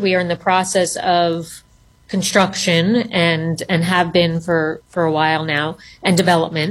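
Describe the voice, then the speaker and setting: At a fairly slow pace, a woman speaks in a normal speaking voice at medium pitch. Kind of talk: radio interview. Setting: remote call.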